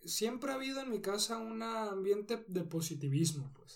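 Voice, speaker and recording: A man is speaking. His pace is fairly slow. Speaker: professional cyclist. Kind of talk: interview.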